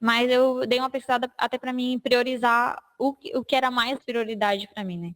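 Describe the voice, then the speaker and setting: The recording is very clean with a silent background and a dry, close sound with no echo. A woman with a high pitch speaks at a moderate pace, her intonation fairly even and with hardly any pauses. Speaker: notary office deputy officer. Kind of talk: panel talk.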